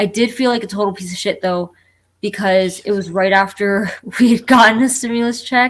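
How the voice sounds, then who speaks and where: The speaker has a slight New Jersey accent and talks at a moderate pace with fairly even intonation. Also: woman. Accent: slight New Jersey twang on one word only. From Florida (born New Jersey, moved at four). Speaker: collector panelist. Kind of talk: casual chat. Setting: live stream.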